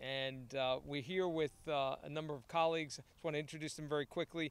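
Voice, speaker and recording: A man talks at a fairly quick pace with fairly even intonation, in a dry sound with no echo. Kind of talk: press conference remarks. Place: stadium. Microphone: podium.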